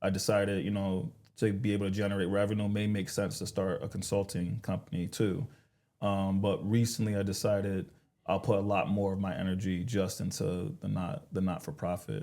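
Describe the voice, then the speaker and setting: The man has a dark, mellow tone and a fairly low pitch, talking at a fairly quick pace with ordinary pitch variation on a very clean recording with a silent background. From New York, the Bronx. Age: 30s. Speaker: sales director and nonprofit founder. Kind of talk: casual interview.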